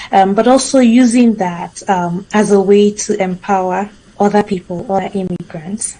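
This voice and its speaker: A woman speaks at a moderate pace and medium pitch, somewhat breathy, with a dark, mellow tone and fairly even intonation. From Nigeria. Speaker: author and immigrant coach. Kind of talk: interview. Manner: halting, many fillers.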